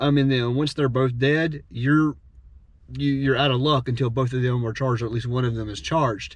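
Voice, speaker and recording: The man's intonation stays fairly even at a medium pitch. He moves along at a fairly quick pace. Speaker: drummer and gear reviewer. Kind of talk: product review. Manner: fast; casual, many fillers.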